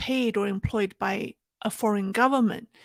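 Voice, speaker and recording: Speaking at a moderate pace with fairly even intonation and a slight non-native accent, a woman's fairly high voice comes through a very clean recording with a silent background and a dry, close sound with no echo. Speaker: political commentator. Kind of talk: livestream commentary. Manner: halting, many fillers.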